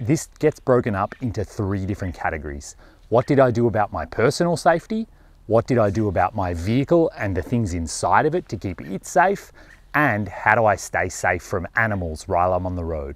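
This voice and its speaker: A man at a fairly quick pace, pitch swinging very widely, in a dry sound with no echo. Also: fairly low pitch for a man. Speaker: overland travel vlogger. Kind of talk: casual vlog chat. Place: forest. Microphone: lapel.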